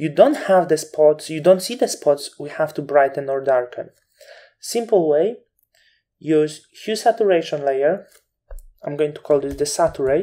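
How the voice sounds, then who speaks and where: Long pauses come often, though the speech itself runs at a moderate tempo. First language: not English. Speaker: Photoshop instructor. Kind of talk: tutorial.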